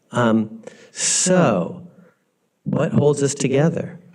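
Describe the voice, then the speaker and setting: Audible echo fills the room. In it, a man talks in an American accent. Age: 60s. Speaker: law professor. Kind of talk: lecture. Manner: animated; halting.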